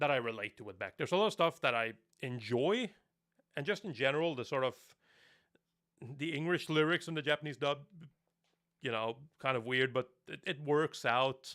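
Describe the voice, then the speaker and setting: A man with a Norwegian accent speaks at a fairly quick pace, though with long, frequent pauses, in a very clean recording with a silent background. His fairly high voice has a bright, sharp tone and ordinary pitch variation. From Norway. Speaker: anime reviewer. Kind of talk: live stream chat. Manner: casual.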